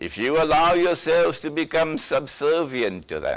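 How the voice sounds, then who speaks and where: Against a quiet background, a man with a fairly high pitch speaks at a fairly slow pace with ordinary pitch variation. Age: 60s. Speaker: Islamic scholar, lecturer. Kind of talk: lecture. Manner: forceful.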